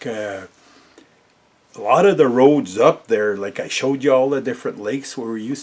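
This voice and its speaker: A man speaks at a medium pitch with an Ontario accent. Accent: Canadian (Ontario). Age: 60s. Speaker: storyteller vlogger. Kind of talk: casual storytelling. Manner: halting, many fillers.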